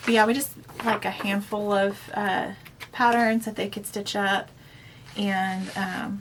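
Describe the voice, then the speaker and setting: With noticeable background noise behind her, a woman talks fairly slowly at a medium pitch in a monotone, flat intonation, leaving long, frequent pauses. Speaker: cross-stitch video blogger. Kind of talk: casual chat.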